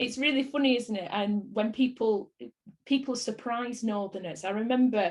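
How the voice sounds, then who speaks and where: A somewhat breathy voice, its pitch moving in an ordinary way. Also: woman. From northern England, Bolton. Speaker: actress. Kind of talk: interview.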